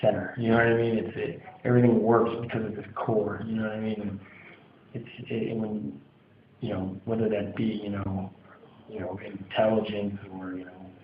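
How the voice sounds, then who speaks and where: An American-accented man with a fairly low pitch speaks in a monotone, flat intonation, taking long, frequent pauses, with big swings in loudness and audible room echo. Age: 20s. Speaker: hardcore band singer. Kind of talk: interview. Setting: music venue after a show. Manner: halting. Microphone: audio a little quiet.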